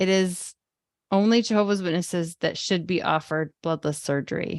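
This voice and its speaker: Against a quiet background, a woman speaks with a dry, close sound with no echo. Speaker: webinar co-host. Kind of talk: reading aloud quiz questions. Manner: clear reading.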